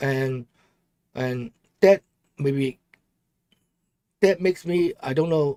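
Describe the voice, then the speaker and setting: Speaking fairly slowly in a strong Hong Kong accent, the voice has a dark, mellow tone and lively intonation, recorded dry and close with no echo. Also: man. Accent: Hong Kong Cantonese accent in English, strong. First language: Cantonese. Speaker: political commentary livestreamer. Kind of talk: casual livestream talk. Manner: halting.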